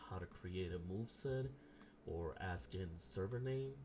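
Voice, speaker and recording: A man speaks softly at a very slow pace, with a very deep, low pitch. Noticeable background noise runs underneath. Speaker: game modding tutorial creator. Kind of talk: tutorial. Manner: soft-spoken; hesitant, many filler ums.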